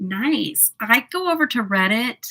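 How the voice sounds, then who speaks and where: With an American accent, a woman speaks in a bright, sharp tone, and the sound is dry and close with no echo. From US South. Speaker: makeup livestreamer. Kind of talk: casual livestream chat with makeup tutorial. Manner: chatty, filler-heavy.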